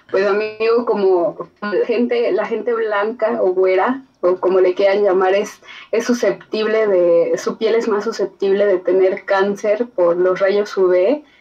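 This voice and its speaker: Very slowly, a woman talks at a medium pitch and fairly even intonation, with noticeable background noise present. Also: very even loudness. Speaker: university student. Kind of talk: casual chat. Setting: video call.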